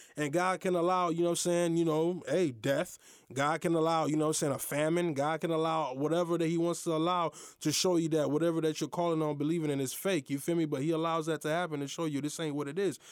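A man speaks at a very fast pace in a fairly high, monotone, flat voice. The recording is very clean, with a silent background. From US, Haitian American family. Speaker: podcast host. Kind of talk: casual monologue on faith. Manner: halting, many fillers.

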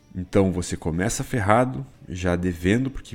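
His pace is moderate. This man's pitch swings very widely. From Rio Grande do Sul, Brazil. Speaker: investment advisor. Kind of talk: podcast monologue.

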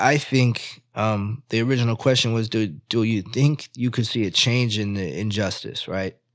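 A man speaks in a normal speaking voice at medium pitch, with ordinary pitch variation and a moderate pace. He leaves hardly any pauses, and the recording is very clean with a silent background. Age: 30s. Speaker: podcast co-host. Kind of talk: casual chat.

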